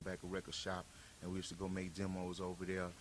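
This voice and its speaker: Speaking at a very fast pace, a man uses a very deep, low voice with an American accent. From New Orleans, raised partly in Houston. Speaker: rapper. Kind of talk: interview. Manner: relaxed, many fillers.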